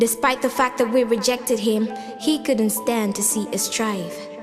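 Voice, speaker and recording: Music plays in the background as a woman with fairly high pitch speaks with fairly even intonation. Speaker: spoken word poet. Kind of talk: spoken word poetry performance.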